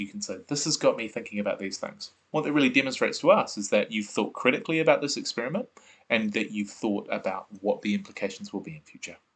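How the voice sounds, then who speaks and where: A man talks with a New Zealand accent. His pace is fairly quick. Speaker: science teacher. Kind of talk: online lesson. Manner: fast.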